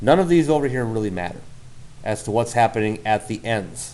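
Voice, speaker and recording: Audible room echo surrounds a man as he speaks. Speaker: math teacher. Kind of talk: lecture.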